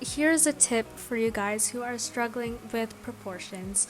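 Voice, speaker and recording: A soft-spoken woman at a fairly slow pace, intonation fairly even, music in the background. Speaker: artist. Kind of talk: casual voiceover for a draw-with-me art tutorial. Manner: calm, soft.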